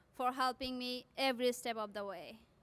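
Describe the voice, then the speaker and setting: Projected and raised, a woman's high, bright, sharp voice moves at a fairly slow pace with ordinary pitch variation. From South Asia. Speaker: graduating student. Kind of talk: commencement speech.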